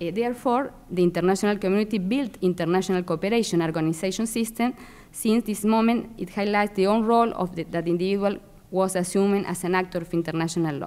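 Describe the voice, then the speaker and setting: The speaker talks at a very fast pace with a Spanish accent. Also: woman, medium pitch for a woman, ordinary pitch variation. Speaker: international law scholar; panelist. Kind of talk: academic presentation. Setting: symposium in a library. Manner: halting. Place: hall.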